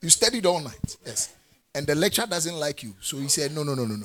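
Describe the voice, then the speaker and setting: A somewhat breathy man's voice, fairly high in pitch, with lively intonation. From Ghana. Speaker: preacher. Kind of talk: sermon preached to a live congregation, with call-and-response. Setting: church. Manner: animated, fervent, exhorting in a rising pulpit cadence; direct and authoritative, with laughter and asides to the congregation.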